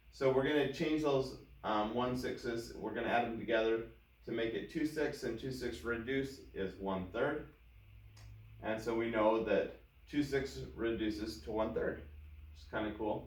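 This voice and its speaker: A voice with ordinary pitch variation and a moderate pace, where loudness swings widely and room echo can be heard. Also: man, medium pitch for a man. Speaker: math teacher. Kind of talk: tutorial.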